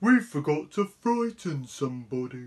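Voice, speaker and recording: A put-on character voice at a low-to-middle pitch, with very wide pitch swings. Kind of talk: bedtime story. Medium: read story.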